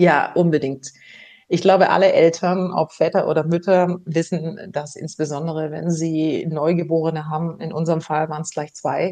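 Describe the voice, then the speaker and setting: Monotone and flat, a woman's fairly low voice has a dark, mellow tone. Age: 50s. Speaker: former HR executive and author. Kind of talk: interview. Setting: remote interview, not in the host's studio.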